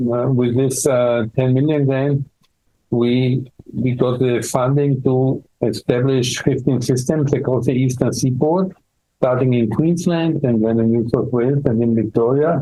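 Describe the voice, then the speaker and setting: A man with an Austrian accent speaks at a medium pitch and a fairly slow pace, with fairly even intonation and very even loudness. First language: German. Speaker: dermatology professor. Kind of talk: interview. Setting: medical conference. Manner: halting, many fillers and repeats.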